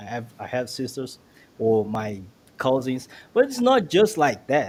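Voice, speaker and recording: A man with a medium pitch and a Brazilian Portuguese accent, at a fairly slow pace. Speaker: guest commentator. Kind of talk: casual chat. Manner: halting.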